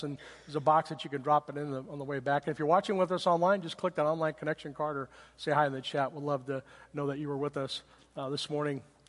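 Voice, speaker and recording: Pitched fairly high, a man speaks at a very fast pace. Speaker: pastor. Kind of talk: sermon. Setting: church. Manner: normally fast.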